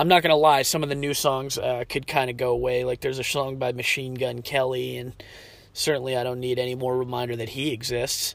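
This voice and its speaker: Over noticeable background noise, a man with a medium pitch talks at a fairly quick pace in a monotone, flat intonation. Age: 30s. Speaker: podcast host. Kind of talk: casual solo monologue. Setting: outdoors waiting outside a restaurant. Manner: halting, filler-heavy.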